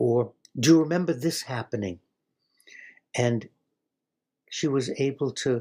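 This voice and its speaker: Speaking fairly slowly, a man uses a dark, mellow tone with fairly even intonation. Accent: American. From US Northeast, Brookline, Massachusetts. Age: 80s+. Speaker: rabbi and retired chaplain. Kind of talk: casual livestream chat answering viewer questions. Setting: livestream.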